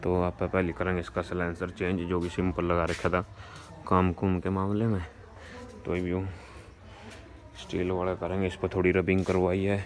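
The speaker moves at a fairly slow pace and takes long, frequent pauses. Light background noise can be heard. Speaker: tractor vlogger. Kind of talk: casual vlog chat. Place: farm machine. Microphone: phone near.

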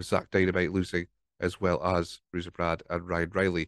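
Over a quiet background, a man with a Scottish accent is heard in a dry, close sound with no echo. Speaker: podcast host. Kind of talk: casual solo podcast recap. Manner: rambling, hesitant.

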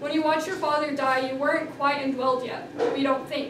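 Noticeable background noise sits behind a woman's high-pitched voice. Her intonation is monotone and flat. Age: young. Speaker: author. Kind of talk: reading aloud. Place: hall. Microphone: camera far.

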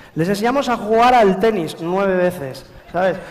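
A high-pitched male voice with lively intonation at a fairly slow pace, light background noise behind it. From La Rioja, Spain. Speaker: comedian. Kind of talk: stand-up comedy monologue. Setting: live stage with audience. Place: stage. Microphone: headset.

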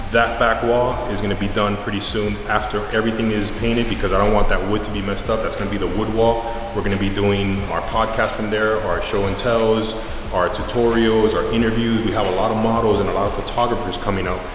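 Very fast and monotone, a man's fairly low voice carries audible room echo and noticeable background noise. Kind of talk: casual vlog chat. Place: empty room. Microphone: phone near.

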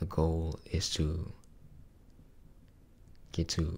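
A man speaks in a very deep, low voice. It is somewhat breathy. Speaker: ASMR creator. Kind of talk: casual talk to camera. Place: home room. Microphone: studio mic.

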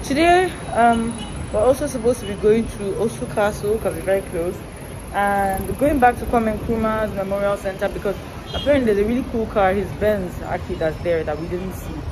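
A woman talking fairly quickly, ordinary pitch variation, noticeable background noise behind her. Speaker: travel vlogger. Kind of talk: casual vlog chat. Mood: relaxed, chatty. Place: street. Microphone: phone near.

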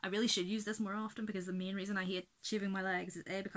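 A woman with a Belfast accent talks at a very fast pace in a medium pitch. Her tone is bright and sharp, her intonation fairly even. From Belfast, Northern Ireland. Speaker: beauty vlogger. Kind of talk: casual talk to camera. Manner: rambling, chatty. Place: home room. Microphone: webcam.

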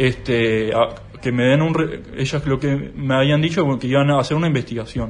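Over noticeable background noise, a man speaks at a moderate pace and a medium pitch with fairly even intonation. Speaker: accountant and whistleblower. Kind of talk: interview testimony.

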